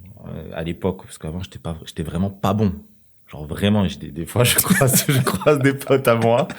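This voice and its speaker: A man with a fairly low pitch speaks at a fairly quick pace with lively intonation. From Marseille, southern France. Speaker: professional footballer. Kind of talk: podcast interview. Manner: casual, many hesitations.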